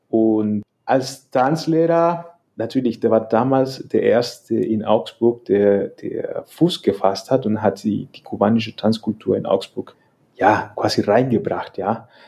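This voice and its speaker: A man in a Spanish accent speaks very slowly at a medium pitch, with ordinary pitch variation and a dark, mellow tone. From El Salvador. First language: Spanish (speaking German). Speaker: salsa dance teacher. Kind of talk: casual interview. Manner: hesitant, many fillers.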